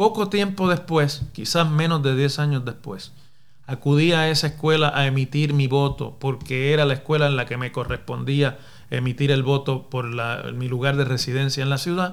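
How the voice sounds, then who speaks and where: Speaking at a moderate pace, a man with a Puerto Rican accent has a fairly high pitch. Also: ordinary pitch variation. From Puerto Rico, Mayagüez. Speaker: professor and political podcaster. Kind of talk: solo commentary podcast. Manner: formal.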